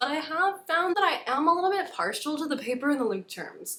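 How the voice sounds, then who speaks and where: A woman speaks in a high, raised, projected voice. Her pace is fairly quick and her pitch swings very widely. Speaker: YouTuber. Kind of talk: casual chat. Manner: fast.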